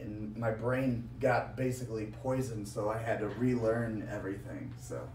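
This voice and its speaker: Speaking slowly, a man with an American accent keeps a medium pitch and fairly even intonation amid noticeable background noise and audible room echo. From US Midwest, Quad Cities. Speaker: professional wrestler. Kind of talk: casual chat. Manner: halting speech after brain injury.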